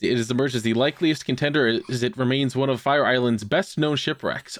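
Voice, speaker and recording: A plain, everyday voice moves at a fairly quick pace with hardly any pauses. Loudness stays very even, and pitch varies in an ordinary way. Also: man. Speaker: podcast host. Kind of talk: casual chat.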